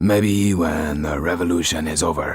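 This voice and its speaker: This man puts on a character voice at a moderate pace. It sounds raspy, with a very deep, low pitch. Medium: read story. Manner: warm, courteous.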